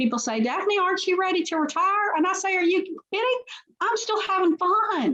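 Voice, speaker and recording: A woman with a Memphis accent and very wide pitch swings. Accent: Southern US (Memphis). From US South, Memphis, Tennessee. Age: 60s. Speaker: company CEO. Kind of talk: interview. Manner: halting, many fillers and repetitions.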